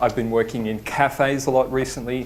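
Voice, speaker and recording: In an Australian accent, a man speaks at a moderate pace and medium pitch, with audible room echo. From Australia, Sydney. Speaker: design studio principal, conference speaker. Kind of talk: conference talk. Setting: stage with audience. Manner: hesitant, many fillers. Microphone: microphone cutting in and out.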